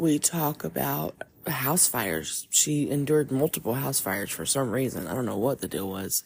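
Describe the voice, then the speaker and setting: A woman speaks with a very deep, low pitch and vocal fry. Her pace is moderate, and her pitch swings very widely. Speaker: podcast host. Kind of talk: podcast intro monologue. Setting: recorded in grandmother's home. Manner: loud.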